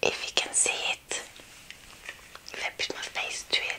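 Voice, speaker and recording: A soft-spoken woman whispers at a very slow pace. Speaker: ASMR creator. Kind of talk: casual vlog chat. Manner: soft whispered close-up talk. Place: home room.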